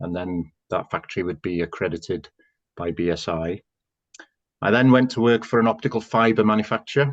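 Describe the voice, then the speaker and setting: A man with a North Welsh accent speaks at a fairly quick pace in a fairly low pitch, with ordinary pitch variation, against a quiet background. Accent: Welsh English, North Wales. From North Wales. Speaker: housing association chief executive. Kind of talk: interview.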